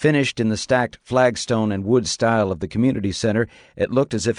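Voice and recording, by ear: With the usual amount of pitch change, the speaker reads aloud in a natural voice.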